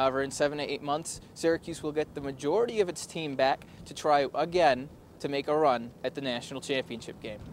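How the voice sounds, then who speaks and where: A man with an unremarkable speaking voice, fairly high in pitch, at a fairly quick pace with ordinary pitch variation. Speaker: student TV news reporter. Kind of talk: TV news report.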